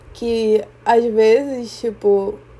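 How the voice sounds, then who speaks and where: Fairly high yet dark and mellow in tone, a woman's voice comes through. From Brazil, Rio de Janeiro. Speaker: podcaster. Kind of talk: personal reflective monologue. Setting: quiet room. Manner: slow, with pauses.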